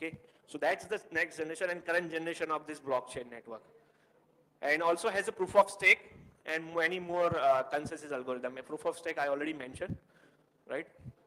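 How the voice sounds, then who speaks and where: A man talks at a fairly quick pace in a fairly high voice with ordinary pitch variation. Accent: Indian. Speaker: tech meetup speaker. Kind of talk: technical presentation. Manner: fast.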